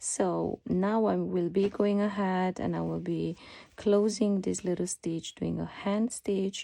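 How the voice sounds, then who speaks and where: This woman's speech comes very slowly. She has a non-native accent. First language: not English. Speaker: sewing pattern designer. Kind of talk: tutorial. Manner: hesitant, many fillers.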